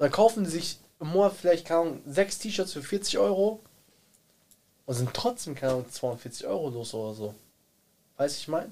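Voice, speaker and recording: A man with a high pitch and a dark, mellow tone talks at a moderate pace, leaving long, frequent pauses. His pitch swings very widely and his loudness rises and falls a lot. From Germany, Bielefeld. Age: 20s. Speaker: rapper. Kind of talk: casual chat.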